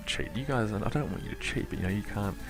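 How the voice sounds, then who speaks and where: A man whispers over music in the background. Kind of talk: casual talk to camera. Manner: whispery, sultry.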